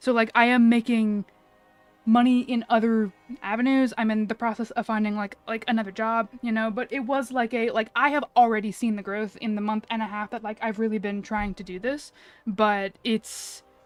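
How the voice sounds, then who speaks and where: Against music in the background, a woman speaks with monotone, flat intonation. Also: moderate pace. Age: 30s. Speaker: gaming streamer. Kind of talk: casual chat. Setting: live stream. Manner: halting.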